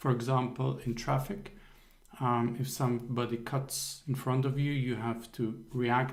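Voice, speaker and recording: With a non-native accent, a man talks at a very slow pace in a monotone, flat intonation. Audible room echo surrounds the recording. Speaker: accountability coach. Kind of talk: motivational talk on a group call. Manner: hesitant with frequent fillers.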